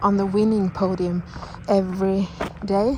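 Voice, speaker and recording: A woman speaks very slowly with a Norwegian accent. Background noise is noticeable. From Norway. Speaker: vlogger. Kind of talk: personal vlog monologue. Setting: outdoors, walking in the mountains. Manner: halting, with many fillers and restarts.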